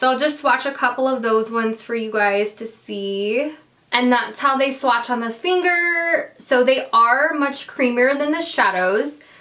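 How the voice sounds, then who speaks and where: A woman's high-pitched voice at a fairly slow pace over noticeable background noise. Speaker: beauty vlogger. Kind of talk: product review. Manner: casual, filler-heavy.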